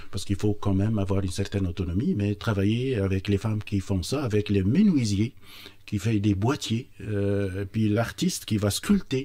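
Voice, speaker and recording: Fairly low male pitch, dark and mellow in tone, with fairly even intonation at a moderate pace, on a very clean recording with a silent background. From Tunisia, Tozer. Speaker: entrepreneur. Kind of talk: radio interview. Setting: studio. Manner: halting, many hesitations.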